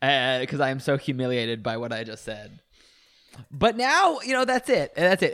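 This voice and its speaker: Sounding animated, a man with a fairly high pitch makes very wide pitch swings. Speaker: podcast host. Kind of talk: casual chat.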